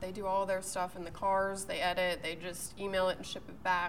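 With an American accent, a woman speaks at a very fast pace amid audible room echo. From Pittsburgh, Pennsylvania. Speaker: TV meteorologist. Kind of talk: casual interview. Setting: golf club.

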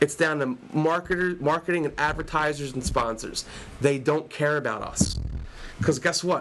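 This man has an unremarkable speaking voice, fairly high in pitch with ordinary pitch variation, delivered at a moderate pace. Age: 30s. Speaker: wrestling fan guest, English teacher. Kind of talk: casual chat.

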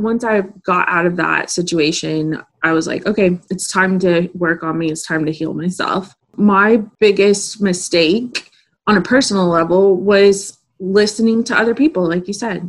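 Speaking at a moderate pace, a woman has a normal speaking voice, medium pitch and ordinary pitch variation. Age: 30s. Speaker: podcast host and manifestation coach. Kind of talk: casual interview chat.

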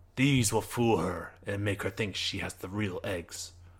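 A man's fairly low voice moves along at a moderate speed. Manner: grave, weary, quietly sincere.

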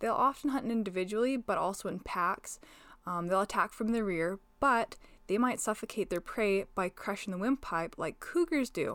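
Lively intonation runs through this woman's fairly high-pitched voice. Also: moderate pace, very clean recording, silent background. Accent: western Canadian. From northwestern Alberta, Canada. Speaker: agricultural podcast host. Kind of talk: informative solo podcast talk. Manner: casual, laughs often.

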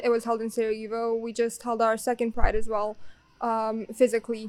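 Her pitch is fairly high. This woman speaks with a Bosnian accent in a monotone, flat intonation. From Bosnia and Herzegovina. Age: young. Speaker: exchange student. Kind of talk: casual interview.

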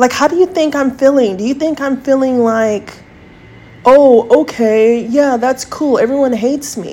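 A woman speaks at a moderate pace in a high voice, her pitch rising and falling in an ordinary way. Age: 40s. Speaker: podcast host. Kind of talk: monologue rant.

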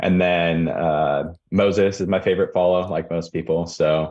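A man's dark, mellow tone at a fairly slow pace, in monotone, flat intonation. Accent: West Coast. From Portland, Oregon suburbs. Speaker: real-estate developer. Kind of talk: casual interview.

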